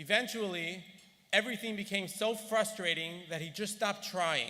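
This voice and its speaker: Raising and projecting his voice, a man speaks at a moderate pace with a high pitch and a bright, sharp tone. Audible room echo surrounds him. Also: fairly even intonation. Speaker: gala honoree. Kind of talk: speech. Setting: stage with audience. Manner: formal.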